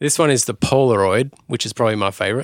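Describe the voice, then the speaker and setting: Australian-accented male voice, medium-pitched and fairly quick, in a very clean recording with a silent background. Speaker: music podcast host. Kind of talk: scripted narration; casual chat.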